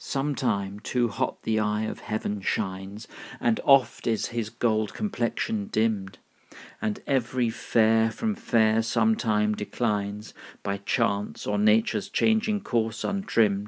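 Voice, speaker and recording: Speaking at a fairly slow pace with a British accent, the voice keeps a flat, monotone intonation. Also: man, fairly low pitch for a man. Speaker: English pronunciation teacher. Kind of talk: poetry reading.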